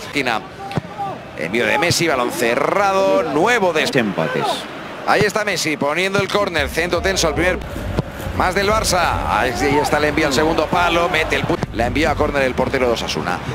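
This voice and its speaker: An excited, animated man talks at a fairly high pitch with lively intonation over noticeable background noise. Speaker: football commentator. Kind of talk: live football commentary. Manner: rapid-fire, excited play-by-play; animated, rising intensity on shots and chances.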